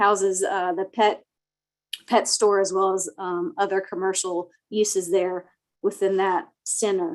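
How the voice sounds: Soft-spoken and fairly slow, a woman talks at a medium pitch.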